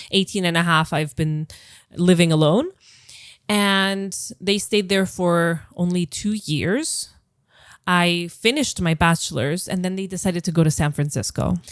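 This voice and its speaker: A woman speaks in a fairly low pitch with ordinary pitch variation. The recording is very clean, with a silent background. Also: moderate pace. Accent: American. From Greece, moved around abroad. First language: Greek. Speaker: psychologist. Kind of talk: interview conversation. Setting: in person.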